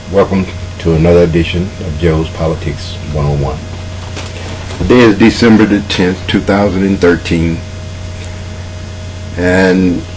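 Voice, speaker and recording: A man talks at a very deep, low pitch with fairly even intonation. Audible room echo and noticeable background noise surround him. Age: 60s. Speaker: political commentator. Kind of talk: monologue commentary. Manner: casual.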